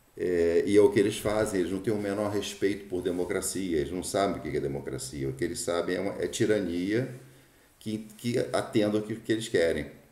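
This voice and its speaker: Audible room echo surrounds a man whose dark, mellow, fairly low voice moves at a fairly quick pace with ordinary pitch variation. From Brazil. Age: 60s. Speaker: political commentator. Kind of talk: opinion monologue. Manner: halting, frequent fillers and repetitions.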